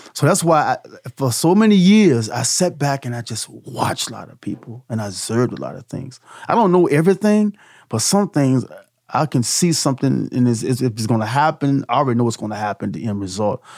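Speaking at a fairly quick pace, a man with a medium pitch sweeps through very wide pitch swings, recorded very cleanly against a silent background. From Petersburg, Virginia. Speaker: soul singer. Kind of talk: casual podcast interview. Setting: recording studio. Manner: halting, repeats words.

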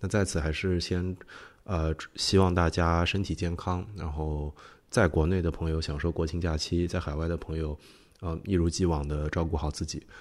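A very clean recording with a silent background, moderate pace and monotone, flat intonation. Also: man, very deep, low pitch for a man. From outside Beijing, China. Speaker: podcast host. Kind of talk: episode introduction monologue.

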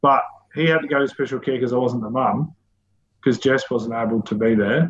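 A man with an Australian accent, talking at a fairly quick clip. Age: 30s. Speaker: community organisation director and father. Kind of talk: interview, personal storytelling.

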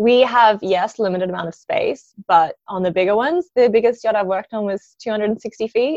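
Someone with an Australian accent speaks at a fairly slow pace with ordinary pitch variation. The sound is dry and close, with no echo. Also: woman. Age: 20s. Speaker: yacht chef. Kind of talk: casual interview. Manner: energetic.

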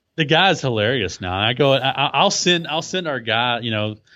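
A man with a Texan accent talks at a fairly quick pace. His medium pitch carries lively intonation. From Texas. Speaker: blogger and podcaster. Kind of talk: casual interview chat.

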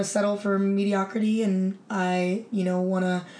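Woman at medium pitch, monotone and flat in intonation, moderate pace, with audible room echo. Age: 30s. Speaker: women's football quarterback. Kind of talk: casual chat. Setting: at her home.

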